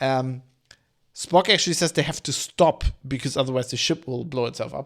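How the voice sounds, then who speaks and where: A man with a non-native accent speaks at a fairly high pitch and a moderate pace. His pitch varies in an ordinary way on a very clean recording with a silent background. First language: not English. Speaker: podcast host, TV reviewer. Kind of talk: casual solo commentary while watching. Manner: hesitant, many fillers.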